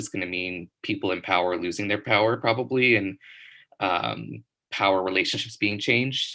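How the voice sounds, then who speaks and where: In a quiet background, a man's fairly low voice carries a bright, sharp tone with ordinary pitch variation. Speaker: classically trained singer and composer. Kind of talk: interview. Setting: live stream.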